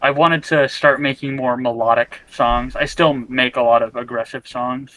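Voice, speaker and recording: A bright, sharp tone at a moderate pace against a quiet background. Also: man, medium pitch for a man. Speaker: underground music artist. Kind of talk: casual interview chat. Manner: halting, repeats words.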